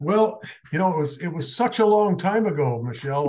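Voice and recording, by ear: With an American accent and a slightly mellow tone, a man speaks at a moderate pace with lively intonation.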